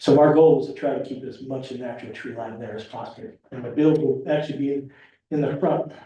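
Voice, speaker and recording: With audible room echo, the voice comes out somewhat breathy and dark and mellow in tone, moving at a very fast pace with ordinary pitch variation. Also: man, fairly high pitch for a man. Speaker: property developer applicant. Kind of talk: public meeting presentation. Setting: town board meeting. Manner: gets softer the longer he talks; halting, repetitive.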